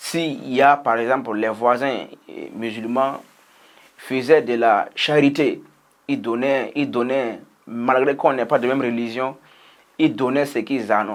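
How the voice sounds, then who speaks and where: Using a Burkinabe accent, a man at medium pitch talks at a very slow pace with long, frequent pauses and fairly even intonation. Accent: Burkinabè French. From Burkina Faso. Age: young. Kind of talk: personal testimony, interview answer.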